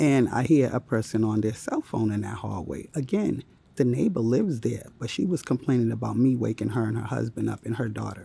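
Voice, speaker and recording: Someone whispers at a fairly quick pace with hardly any pauses. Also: man. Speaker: vlogger. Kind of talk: casual vlog. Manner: whispering.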